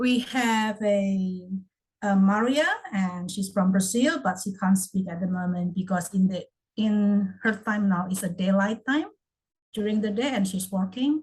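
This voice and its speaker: The voice is somewhat breathy, with ordinary pitch variation. The pace is fairly slow. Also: woman, medium pitch for a woman. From Indonesia. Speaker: online English class moderator. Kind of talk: casual group chat.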